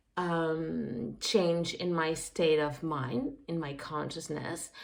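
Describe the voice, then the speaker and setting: A French accent at a very slow pace, with ordinary pitch variation and audible room echo. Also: woman, very deep, low pitch for a woman. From France. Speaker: occult practitioner vlogger. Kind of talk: casual monologue. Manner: halting, many fillers.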